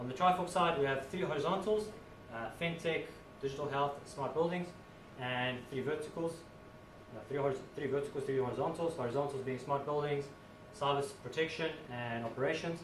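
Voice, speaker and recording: Someone with a South African accent talks at a fairly quick pace with long, frequent pauses and ordinary pitch variation, amid noticeable background noise and audible room echo. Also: man. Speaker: IT consultant. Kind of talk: conference talk. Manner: casual, with many fillers.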